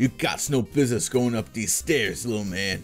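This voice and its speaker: Putting on a character voice, a man speaks in a gruff, growling tone at medium pitch and a moderate pace, with very wide pitch swings and clear music in the background. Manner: growling, gruff.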